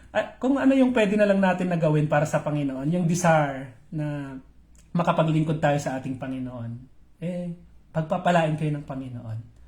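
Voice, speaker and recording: Fairly high-pitched man at a moderate pace with lively intonation. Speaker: pastor. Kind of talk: live-streamed morning devotion. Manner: halting, with many fillers.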